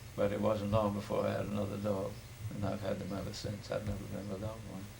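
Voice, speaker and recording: Over noticeable background noise, a man with a fairly low pitch talks very fast in a flat monotone. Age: 80s+. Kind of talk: oral history interview answer.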